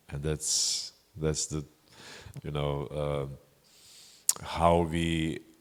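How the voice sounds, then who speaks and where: Very slowly, a man speaks with a non-native accent and fairly even intonation. His pitch is very deep and low. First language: not English. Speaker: Buddhist meditation teacher. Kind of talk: dharma talk Q&A answer. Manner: halting.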